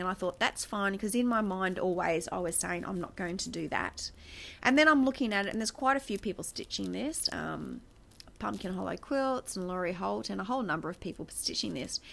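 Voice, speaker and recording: A woman at a fairly quick pace, with an Australian accent. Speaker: craft vlogger. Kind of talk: casual chat. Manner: chatty, rambling with fillers. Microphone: new external mic on iPad.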